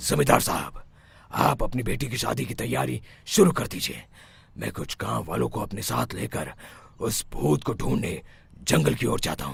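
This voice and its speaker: A man's cartoonish character voice, very deep and low, with very wide pitch swings at a moderate pace. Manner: authoritative.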